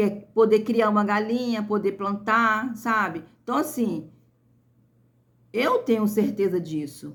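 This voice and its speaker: A somewhat breathy woman's voice, fairly high in pitch, on a very clean recording with a silent background. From rural interior of Brazil. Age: 50s. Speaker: YouTuber, small farm owner. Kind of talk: casual vlog chat to viewers. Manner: hesitant, repetitive fillers.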